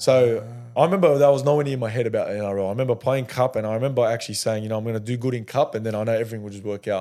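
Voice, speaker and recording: A man with an Australian accent speaks very fast, his tone dark and mellow at a medium pitch. His pitch varies in an ordinary way, and the recording is very clean with a silent background. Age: 20s. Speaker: professional rugby league player. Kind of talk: casual interview chat.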